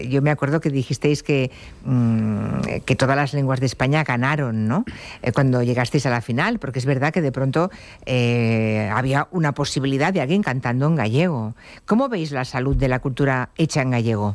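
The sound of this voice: Few pauses break the moderate pace of a man speaking at medium pitch, his pitch varying in an ordinary way.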